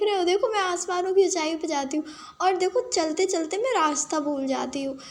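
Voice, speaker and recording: The pitch rises and falls in an ordinary way. The speaker is a woman. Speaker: gaming streamer. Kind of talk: gameplay commentary. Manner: casual, chatty.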